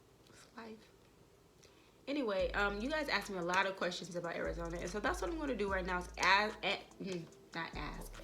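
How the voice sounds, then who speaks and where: A woman with a medium-pitched voice speaks at a fairly quick pace in an animated tone, her intonation lively and her loudness swinging widely, with audible room echo and noticeable background noise. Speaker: YouTuber. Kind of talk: vlog talk to camera. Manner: animated, casual.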